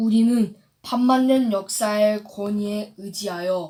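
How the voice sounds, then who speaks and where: A woman at a very slow pace, her fairly high pitch paired with a dark, mellow tone. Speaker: youth reader reciting a historical declaration. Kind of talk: solemn historical declaration reading.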